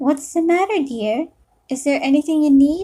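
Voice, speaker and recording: A woman does a put-on character voice that is high-pitched, breathy and hoarse. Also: moderate pace. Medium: read story. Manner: hoarse, breathy, taunting.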